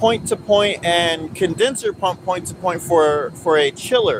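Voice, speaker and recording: Speech moves at a very slow pace. Noticeable background noise runs underneath. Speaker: HVAC technician. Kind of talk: tutorial. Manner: loud.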